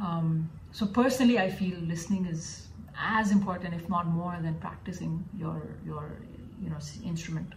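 Speaking at a moderate pace, a woman has a fairly low pitch with ordinary pitch variation. Noticeable background noise and audible room echo surround her voice. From Dubai, then US from age 12. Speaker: classical flute player. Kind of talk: interview. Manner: hesitant, many fillers (uh, um).

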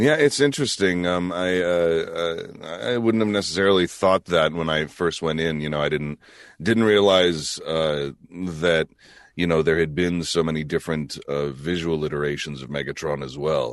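A man talks at a moderate pace against a quiet background. His very deep, low pitch moves in an ordinary way. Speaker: voice actor. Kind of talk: casual chat.

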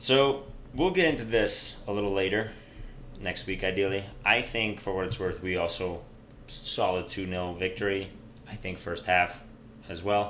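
With an animated tone and ordinary pitch variation, a man with a fairly low voice speaks with long, frequent pauses. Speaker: podcast host. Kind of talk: casual banter podcast chat. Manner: joking, animated.

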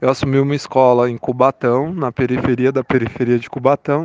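Here is a man with an ordinary speaking voice, medium in pitch and fairly even in intonation, speaking at a moderate pace with a dry, close sound with no echo. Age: 30s. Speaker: school principal and political candidate. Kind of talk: interview.

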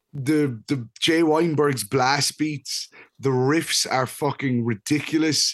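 A man's fairly high-pitched voice at a fairly slow pace, a normal speaking voice with ordinary pitch variation. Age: 30s. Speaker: music podcast co-host. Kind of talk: casual chat.

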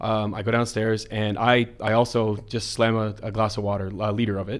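A man with a fairly low voice talks at a fairly quick pace in a monotone, flat delivery. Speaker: podcast co-host, entrepreneur and public speaker. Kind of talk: casual conversational podcast chat. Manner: somewhat halting, many repeated words and fillers.

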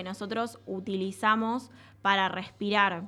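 A woman with a Rioplatense accent speaks in a bright, sharp tone with fairly even intonation on a very clean recording with a silent background. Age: 20s. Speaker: radio host, environmental agency staffer. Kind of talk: radio interview and presentation. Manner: halting, with frequent fillers and repetitions.

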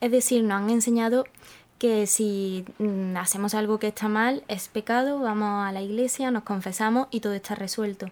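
A woman with a normal speaking voice, fairly high in pitch and fairly even in intonation, recorded very cleanly against a silent background. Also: moderate pace. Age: 20s. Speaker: podcast host. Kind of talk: casual chat.

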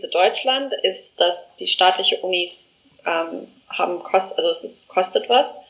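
At a fairly slow pace, a woman is talking. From South Africa. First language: not German (South African) (speaking German). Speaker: education startup founder. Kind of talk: interview. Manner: halting, many fillers.

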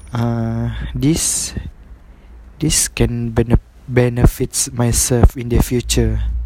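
A man talks at a very slow pace with long, frequent pauses. Noticeable background noise sits behind him. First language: not English. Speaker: university student training to be a teacher. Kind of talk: solo podcast monologue for class assignment. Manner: halting, many fillers and repetitions.

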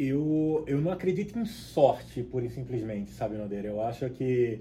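With a Rio de Janeiro accent, a man speaks in a dark, mellow, somewhat breathy tone. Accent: Rio de Janeiro (carioca). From Rio de Janeiro state, Cabo Frio. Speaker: product director in air conditioning industry. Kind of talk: casual interview.

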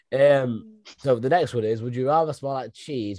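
With a Derbyshire accent, the speaker talks at a moderate pace in a dark, mellow tone with lively intonation. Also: man. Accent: northern English (Derbyshire). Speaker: podcast host. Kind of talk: casual chat. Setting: video call.

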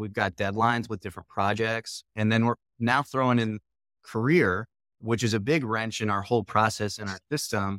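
A man with an ordinary speaking voice, medium pitch, fairly even intonation and a moderate pace, in a dry, close sound with no echo and a very clean recording over a silent background. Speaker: podcast host. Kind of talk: interview conversation.

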